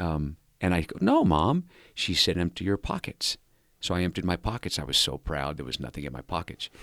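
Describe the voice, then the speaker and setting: A man with an American accent speaks at a moderate pace in a very deep, low pitch with vocal fry, the sound dry and close with no echo on a very clean recording with a silent background. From Southern California. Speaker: former prisoner turned rehabilitation leader. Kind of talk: interview storytelling.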